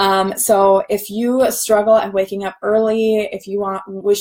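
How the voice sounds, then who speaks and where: The woman's voice sits at a medium pitch. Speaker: online business coach. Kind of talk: live stream talk. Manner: fast.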